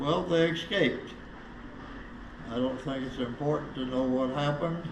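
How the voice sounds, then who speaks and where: The speaker has an American accent and talks at a moderate pace with ordinary pitch variation. Noticeable background noise and audible room echo are present. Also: man, fairly high pitch for a man. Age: 90s. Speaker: former prison inmate. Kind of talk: interview.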